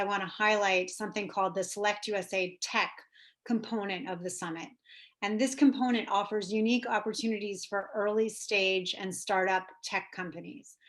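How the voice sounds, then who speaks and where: A woman speaks at a medium pitch with fairly even intonation. The background is quiet. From New York. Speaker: government trade officer. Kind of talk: presentation. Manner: fast.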